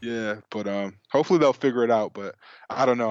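A man with an American accent and a plain, everyday voice talks at a fairly quick pace and a medium pitch. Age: 20s. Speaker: sneaker enthusiast. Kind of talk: casual chat.

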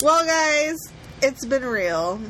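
A woman speaks in a playful tone at a fairly slow pace, her pitch swinging very widely. Noticeable background noise runs underneath. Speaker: podcast co-host. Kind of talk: casual chat. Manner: laughs often, playful.

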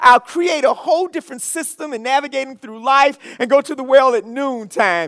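With an American accent and an extremely high pitch, a man uses a raised, projected voice that is bright, sharp and animated, keeping a moderate pace and ordinary pitch variation. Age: 50s. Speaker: pastor. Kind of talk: sermon.

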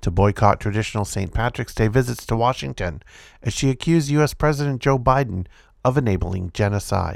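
A man with a plain, everyday voice talks at a fairly quick pace with ordinary pitch variation, recorded very cleanly against a silent background. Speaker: podcast host reading news articles. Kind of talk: reading aloud a news article about protests, including quoted rally speech. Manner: occasional stumbles and self-corrections while reading.

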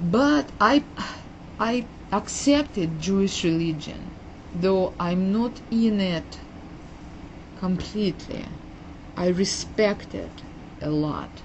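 In a Russian accent, a woman speaks at a very slow pace with long, frequent pauses. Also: medium pitch for a woman, lively intonation. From Uzbekistan, Soviet Union. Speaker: immigrant and family therapist telling her life story. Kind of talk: interview telling life story. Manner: halting, hesitant with repeated words.

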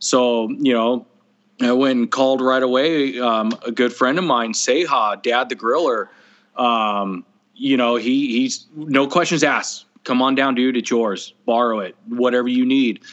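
A plain, everyday voice from a man with an American accent, medium pitch, fairly even intonation and a fairly slow pace. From California. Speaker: barbecue caterer. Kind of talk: casual chat.

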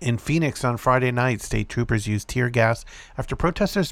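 In a normal speaking voice, a man talks at a fairly quick pace with medium pitch and ordinary pitch variation, in a very clean recording with a silent background. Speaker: podcast host reading news. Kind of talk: news reading of a published article, scripted read-aloud report. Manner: steady, formal, even newscaster delivery.

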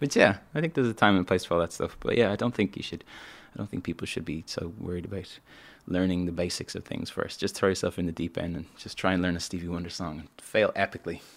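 A man with a Dublin accent speaks at a very fast pace in a very deep, low pitch with ordinary pitch variation. The recording is very clean, with a silent background. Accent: Dublin Irish. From Ireland, Dublin. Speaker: musician. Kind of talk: casual chat.

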